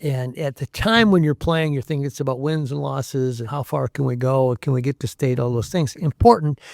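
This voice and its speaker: In a very clean recording with a silent background and a dry, close sound with no echo, a man with an American accent speaks in an ordinary speaking voice at a medium pitch with ordinary pitch variation. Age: 60s. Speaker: sports reporter. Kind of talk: podcast interview. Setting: studio.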